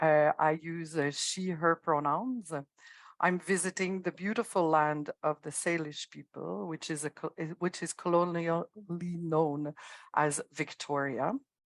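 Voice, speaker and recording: A woman's fairly low voice with a French accent, against a quiet background. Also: ordinary pitch variation, fairly slow pace, dry, close sound with no echo. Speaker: harm reduction worker. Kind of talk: panel introduction.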